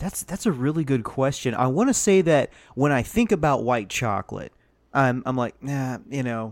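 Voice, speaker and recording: Over a very clean recording with a silent background, a man talks fairly quickly with lively intonation at medium pitch, a normal speaking voice. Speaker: guest podcaster. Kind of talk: casual chat.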